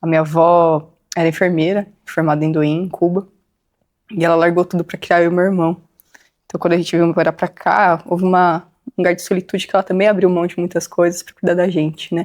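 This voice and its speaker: A woman with a fairly low pitch talks at a fairly quick pace in a monotone, flat delivery. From Brazil, São Paulo / Guarulhos. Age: 30s. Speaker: interviewee in local history documentary. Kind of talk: personal testimony interview. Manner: hesitant, many fillers.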